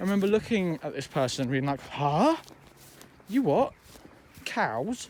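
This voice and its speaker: Loud and fairly slow, a man speaks at a high pitch. His pitch swings very widely. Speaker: vlogger. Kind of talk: casual walking vlog monologue. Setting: outdoors walking in fields. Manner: rambling with many fillers.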